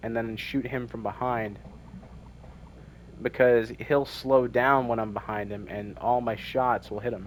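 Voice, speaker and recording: Long, frequent pauses break up a man's monotone, flat delivery at a fairly slow pace. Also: medium pitch for a man. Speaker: gaming streamer. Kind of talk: gameplay walkthrough commentary. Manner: halting, repeats words; relaxed, not forcing voice.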